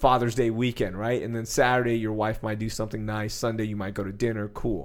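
Speaking fairly quickly, a man uses a plain, everyday voice at a medium pitch. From Texas, Sugar Land near Houston. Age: 30s. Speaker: sports radio host. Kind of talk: casual chat.

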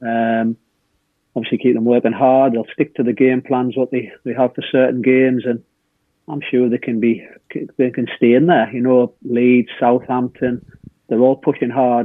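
A man talks with a northeast English accent at medium pitch. His pace is moderate and his intonation monotone and flat. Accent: northeast English (Hartlepool). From northeast England. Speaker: former footballer. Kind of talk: casual chat. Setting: video call.

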